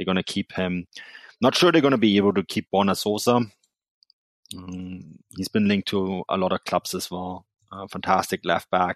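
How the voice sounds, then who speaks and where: This man speaks with a German accent at a very deep, low pitch and with fairly even intonation. The sound is dry and close with no echo, over a quiet background. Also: moderate pace. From Germany (Munich, Bavaria). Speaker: football journalist and podcaster. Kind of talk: casual chat. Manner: halting, many fillers.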